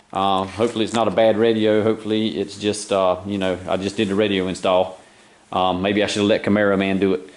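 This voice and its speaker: At a very fast pace, a man talks at a fairly low pitch with monotone, flat intonation. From eastern North Carolina, US South. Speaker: car hobbyist video maker. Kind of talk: DIY car repair vlog. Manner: casual, with many fillers.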